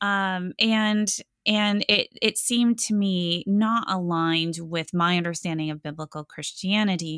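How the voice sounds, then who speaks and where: A woman's plain, everyday voice with an American accent, medium pitch and ordinary pitch variation at a fairly slow pace, in a dry, close sound with no echo on a very clean recording with a silent background. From US Midwest (Iowa). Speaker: history professor and author. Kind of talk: interview.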